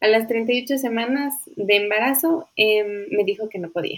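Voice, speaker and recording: A woman with a plain, everyday voice speaks at a fairly high pitch with lively intonation. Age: 30s. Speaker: birth-rights advocate. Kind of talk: interview.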